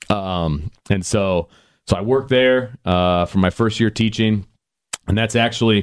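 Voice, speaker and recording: In a very clean recording with a silent background and a dry, close sound with no echo, a man with an unremarkable speaking voice, fairly low pitch and ordinary pitch variation speaks at a fairly slow pace with very even loudness. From Indiana, South Bend area. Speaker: high school baseball coach and football analyst. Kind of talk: casual interview.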